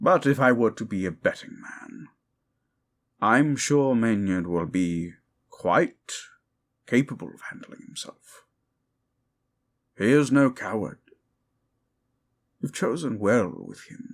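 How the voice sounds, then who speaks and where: Putting on a character voice, a man speaks at a fairly slow pace with long, frequent pauses and a medium pitch. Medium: audio drama. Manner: formal, measured.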